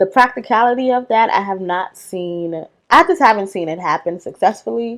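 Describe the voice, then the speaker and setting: A woman talks with a New York accent. Her pitch varies in an ordinary way. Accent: Bronx, New York. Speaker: video essayist. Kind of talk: video essay monologue. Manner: casual, conversational.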